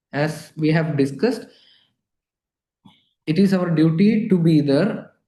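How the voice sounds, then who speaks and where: A man speaks in a dark, mellow tone. His pitch is fairly high, with ordinary variation. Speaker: palliative care nurse educator. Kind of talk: lecture.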